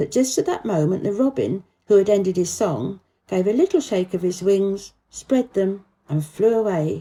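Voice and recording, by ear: Reading aloud in a natural voice, with a quiet background.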